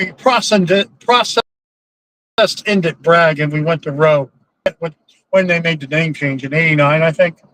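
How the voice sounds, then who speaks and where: With long, frequent pauses, a man speaks at a moderate pace in a high pitch and a bright, sharp tone, his pitch varying in an ordinary way. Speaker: prepper channel host, nurse practitioner. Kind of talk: casual live Q&A chat. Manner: halting, with fillers.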